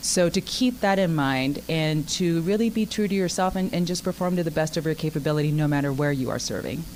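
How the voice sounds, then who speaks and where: A woman with a very deep, low pitch speaks at a fairly quick pace with ordinary pitch variation over noticeable background noise. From Japan. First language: Japanese. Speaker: retired army helicopter pilot, teacher. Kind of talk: interview. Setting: restaurant.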